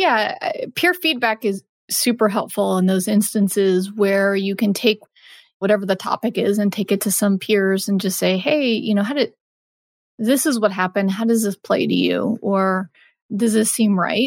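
On a very clean recording with a silent background and a dry, close sound with no echo, a woman with an ordinary speaking voice talks at a moderate pace and medium pitch, with ordinary pitch variation and very even loudness. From Texas. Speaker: marketing lead in gaming. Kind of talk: interview.

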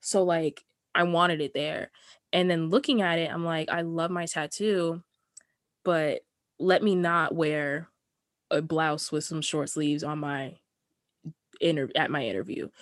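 Her pace is fairly slow, with long, frequent pauses. The woman's pitch varies in an ordinary way. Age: 20s. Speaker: podcast co-host. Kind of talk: casual chat. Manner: animated.

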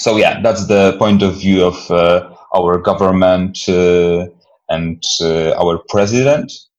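A man speaks with a very deep, low pitch. His intonation stays monotone and flat. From Poland, Silesia. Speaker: activist and film producer. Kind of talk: interview. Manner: halting.

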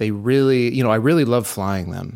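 In a plain, everyday voice, a man with an American accent talks at a fairly quick pace with medium pitch and lively intonation, on a very clean recording with a silent background. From Texas, Houston. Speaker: product designer. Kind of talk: casual interview chat. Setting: studio, in person.

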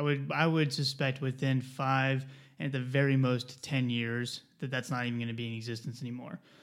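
On a very clean recording with a silent background, a man of medium pitch speaks at a fairly quick pace with fairly even intonation. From US South, South Carolina. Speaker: pharmacist. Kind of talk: casual chat. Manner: fast talker.

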